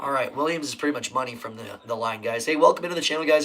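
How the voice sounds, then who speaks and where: With noticeable background noise behind him, a man with an American accent talks at a fairly high pitch with fairly even intonation. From Nebraska. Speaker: sports live streamer. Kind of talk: live game commentary. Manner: casual.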